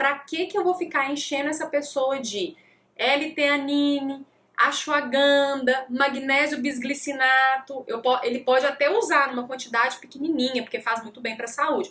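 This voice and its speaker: Fairly slow pace, a raised, projected voice with a bright, sharp tone and ordinary pitch variation. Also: woman, high pitch for a woman. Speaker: nutritionist. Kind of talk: live talk. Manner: animated.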